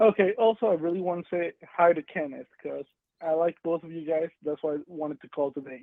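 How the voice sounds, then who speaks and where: Speaking at a fairly quick pace with a non-native accent, a man talks in a high voice with ordinary pitch variation. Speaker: caller. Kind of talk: call-in question.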